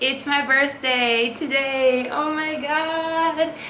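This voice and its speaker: Over noticeable background noise, a woman uses a raised, projected voice with ordinary pitch variation. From Latvia. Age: 20s. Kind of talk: casual talk to camera.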